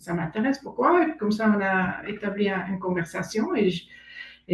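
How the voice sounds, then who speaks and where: The speaker has a German accent. Noticeable background noise runs underneath. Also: woman. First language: German (speaking French). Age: 60s. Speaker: aspiring coach. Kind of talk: testimony interview. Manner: halting.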